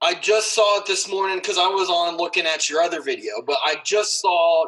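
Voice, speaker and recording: A man's raised, projected voice, high in pitch, with very wide pitch swings and a fairly quick pace. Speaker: podcast host. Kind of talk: casual podcast conversation.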